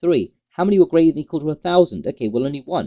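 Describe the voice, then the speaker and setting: A man with a British accent speaks in a fairly high pitch. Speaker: trading educator, company founder. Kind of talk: market update tutorial. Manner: fast.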